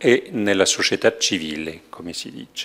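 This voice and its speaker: A man speaks with a French accent. His pace is fairly slow. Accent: French accent in Italian. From France. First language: French (speaking Italian). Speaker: university head giving a lecture. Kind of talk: formal lecture. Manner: formal. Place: hall. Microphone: podium.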